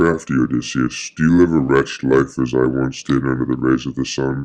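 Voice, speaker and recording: This man uses a put-on character voice. It has a very deep, low pitch and a moderate pace. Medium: stage play.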